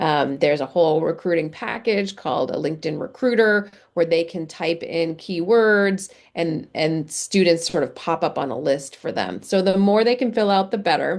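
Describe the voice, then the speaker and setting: A woman's unremarkable speaking voice, fairly low in pitch, with lively intonation, a moderate pace, hardly any pauses, and a quiet background. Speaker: career center director. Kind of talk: webinar presentation. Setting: video call. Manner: many filler words.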